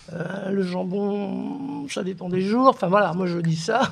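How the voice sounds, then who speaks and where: Noticeable background noise behind a woman's very slow, medium-pitched voice with ordinary pitch variation. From northern France, Oise (born in Algeria). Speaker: writer and art historian. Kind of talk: testimony on a panel.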